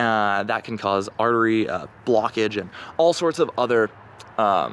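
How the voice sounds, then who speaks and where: A man with an American accent, ordinary pitch variation and a fairly slow pace. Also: medium pitch for a man. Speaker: vlogger. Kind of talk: casual monologue. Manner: hesitant, many fillers.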